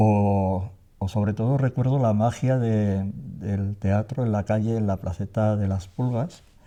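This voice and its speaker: A man's fairly low voice has a dark, mellow tone. His pitch varies in an ordinary way. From Navarre, Spain (Tafalla). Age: 60s. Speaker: theatre actor. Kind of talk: interview testimony. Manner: halting, many fillers and repetitions.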